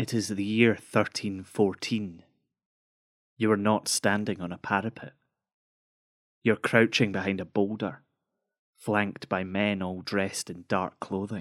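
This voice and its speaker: Over a silent background in a very clean recording, a man with a fairly low pitch talks at a fairly slow pace in a flat monotone, leaving long, frequent pauses. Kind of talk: dramatic second-person narration, atmospheric scripted storytelling of Scottish history. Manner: hushed, immersive, slow and measured, building suspense with vivid scene-setting.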